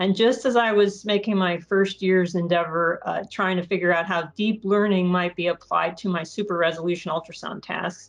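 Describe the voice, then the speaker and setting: A woman talks at a medium pitch and a moderate pace, with hardly any pauses. Her intonation stays fairly even. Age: 50s. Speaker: bioengineering researcher and startup advisor. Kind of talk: podcast interview. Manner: halting.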